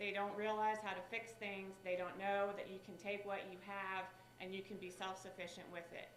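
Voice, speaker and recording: A flat, monotone woman's voice with a West Virginia accent, with audible room echo and noticeable background noise. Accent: West Virginia twang. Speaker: state director for a senator. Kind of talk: speech.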